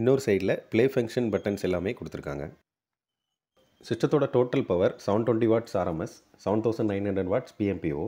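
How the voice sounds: In a very clean recording with a silent background, a man talks fast in a fairly low pitch, his tone dark and mellow, with ordinary pitch variation.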